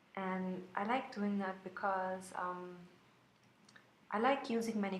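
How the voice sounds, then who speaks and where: A woman speaks at a fairly slow pace in a medium pitch with fairly even intonation. Audible room echo and noticeable background noise surround her. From Austria, Vienna. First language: German. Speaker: planner sticker shop owner. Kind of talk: plan-with-me video voiceover. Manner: hesitant, many fillers.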